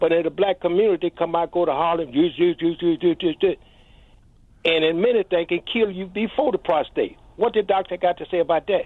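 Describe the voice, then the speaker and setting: High-pitched male voice, fairly quick in pace, with ordinary pitch variation. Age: 80s+. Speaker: caller. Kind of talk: call-in comment.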